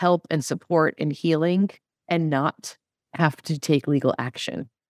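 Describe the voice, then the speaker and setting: Against a silent background in a very clean recording, a woman speaks with a fairly low pitch. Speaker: podcast host. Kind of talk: panel interview discussion. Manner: hesitant, filler-heavy.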